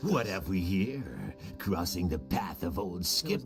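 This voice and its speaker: A man's put-on character voice, very deep and low, at a fairly slow pace over clear background music. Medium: machinima. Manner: gruff.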